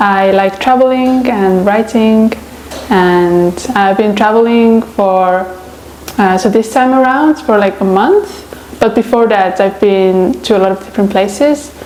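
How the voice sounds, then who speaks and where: A woman with an Estonian accent speaks at medium pitch with ordinary pitch variation and very even loudness. Noticeable background noise is present. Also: fairly slow pace. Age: 20s. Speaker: traveler and writer. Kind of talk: interview. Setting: on camera. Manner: casual, hesitant with many fillers.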